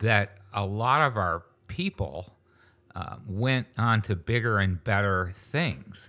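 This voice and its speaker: His American accent comes through in a bright, sharp tone with ordinary pitch variation, and the man is heard on a very clean recording with a silent background. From western New York, US. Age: 60s. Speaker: retired business founder and charity founder. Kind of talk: casual interview.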